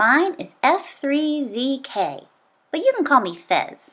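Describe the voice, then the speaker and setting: At a fairly slow pace, a woman puts on a character voice pitched high. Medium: read story. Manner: gentle.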